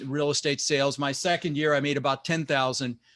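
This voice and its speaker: A man with a plain, everyday voice, fairly high in pitch, at a fairly quick pace, on a very clean recording with a silent background. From US West (Denver, Colorado), immigrated from Netherlands at six. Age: 60s. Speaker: real estate investor and motivational speaker. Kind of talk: motivational talk.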